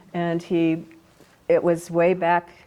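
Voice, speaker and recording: This woman has a fairly low pitch and a dark, mellow tone. She speaks with an American accent. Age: 70s. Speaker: felt artist and teacher. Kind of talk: oral history interview.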